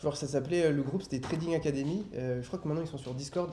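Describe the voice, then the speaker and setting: A man speaks with a fairly high pitch and a dark, mellow tone. His intonation is fairly even. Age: 20s. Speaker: trader. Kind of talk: podcast interview, personal testimony. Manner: halting, many filler hesitations.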